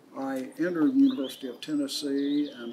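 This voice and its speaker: A man talks at a moderate pace, with noticeable noise in the background. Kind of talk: interview answer. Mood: calm, reflective. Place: open country.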